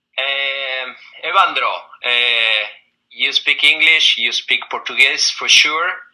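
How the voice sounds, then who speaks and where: Speaking very slowly with an Argentine accent, a man uses a fairly high pitch and ordinary pitch variation. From Argentina. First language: Spanish. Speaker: recruiter. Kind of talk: job interview.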